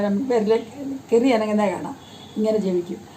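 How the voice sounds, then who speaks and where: A woman's fairly high voice carries an audible echo from the room. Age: 90s. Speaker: elderly storyteller. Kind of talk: casual storytelling. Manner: halting.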